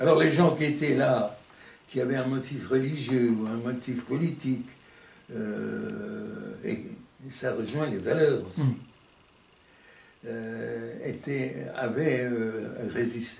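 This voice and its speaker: A man speaks at a very slow pace and a medium pitch, with long, frequent pauses. Noticeable background noise runs underneath. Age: 80s+. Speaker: Resistance veteran and concentration camp survivor. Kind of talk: interview answer.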